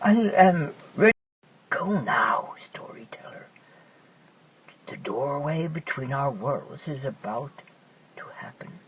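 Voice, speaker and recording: A put-on character voice at middle pitch, fairly slow pace, with long, frequent pauses. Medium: read story.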